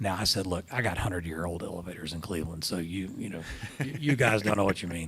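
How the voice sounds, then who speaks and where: Very deep and low, a man's voice rushes at a very fast pace with ordinary pitch variation. Audible room echo is present. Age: 60s. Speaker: hospital system CEO. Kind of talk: interview on stage.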